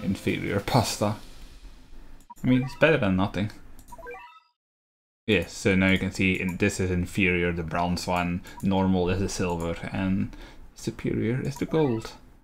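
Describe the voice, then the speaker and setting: A man's very deep, low voice at a moderate pace with ordinary pitch variation and long, frequent pauses, music playing in the background. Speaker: gaming YouTuber. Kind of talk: let's play commentary.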